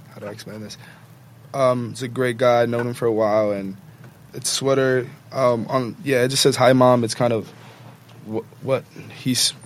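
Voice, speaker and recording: A man with an American accent speaks at a moderate pace and medium pitch, with fairly even intonation and long, frequent pauses. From New York City (the Bronx). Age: young. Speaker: college baseball player. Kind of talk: casual chat.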